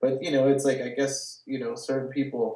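A man with a Californian accent at medium pitch. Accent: Californian American. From California, Watsonville. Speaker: gallery owner and artist. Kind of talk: casual interview. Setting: video call from his studio.

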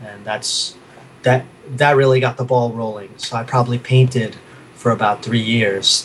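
Over noticeable background noise, a man with a New York accent talks at a medium pitch and moderate pace, his intonation monotone and flat while his loudness swings widely. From New York City, Queens. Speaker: artist. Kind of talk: casual interview chat. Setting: video call from his studio.

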